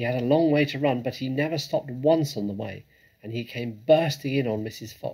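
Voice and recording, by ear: Ordinary pitch variation in a passage read aloud in a natural voice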